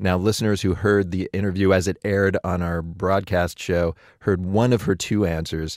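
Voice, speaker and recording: On a very clean recording with a silent background, a man with an American accent speaks at a moderate pace with hardly any pauses, in a very deep, low pitch and monotone, flat intonation. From Pittsburgh, Pennsylvania. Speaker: podcast host. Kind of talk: casual chat.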